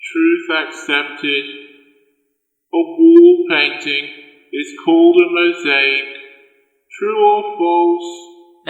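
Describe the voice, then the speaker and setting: A man's put-on character voice, high in pitch, very slow, with long, frequent pauses and a clear echo. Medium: audio drama. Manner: fussy, repetitive, sing-song.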